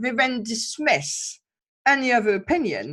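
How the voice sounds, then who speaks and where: A woman speaks in a somewhat breathy voice over a silent background on a very clean recording. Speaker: relationship expert podcast host. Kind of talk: interview conversation.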